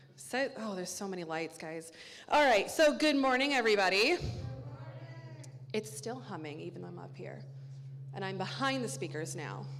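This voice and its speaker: Loudness swings widely and pitch leaps over a very wide range at a moderate pace, with long, frequent pauses, audible room echo and music playing in the background. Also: woman, fairly low pitch for a woman. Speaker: church announcer. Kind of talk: church announcements. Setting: church sanctuary with congregation. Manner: casual, chatty.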